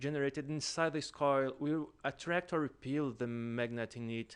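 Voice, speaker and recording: With a Portuguese accent, a man speaks at a moderate pace and a fairly high pitch over a quiet background. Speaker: student presenter. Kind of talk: lecture. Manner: halting.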